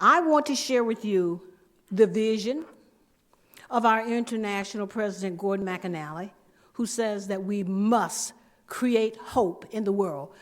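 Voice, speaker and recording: Fairly high in pitch, a woman speaks at a fairly slow pace with ordinary pitch variation and long, frequent pauses. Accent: Southern US. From US South, southwest Georgia (Thomasville). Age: 70s. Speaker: club district leader, speaker. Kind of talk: speech to club audience. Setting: meeting room with audience. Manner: energetic.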